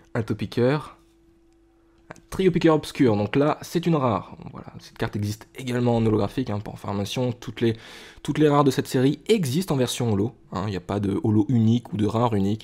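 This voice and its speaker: A man speaks at a medium pitch and a fairly quick pace, with a dark, mellow tone and big swings in loudness. The recording is very clean, with a silent background. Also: ordinary pitch variation. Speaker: trading card collector. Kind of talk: casual talk to camera, card pack opening.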